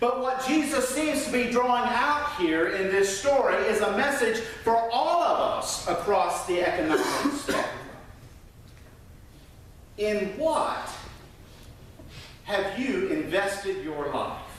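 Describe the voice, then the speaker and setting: A man at an extremely high pitch, with very wide pitch swings, a very slow pace, long, frequent pauses and noticeable background noise. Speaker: minister, sermon preacher. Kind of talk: church sermon. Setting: church, speaking to a congregation.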